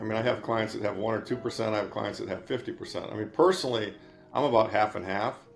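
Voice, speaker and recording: Music in the background behind a man at medium pitch, very fast in pace, with ordinary pitch variation. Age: 60s. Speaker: investment manager. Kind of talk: interview. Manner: halting, many restarts and fillers.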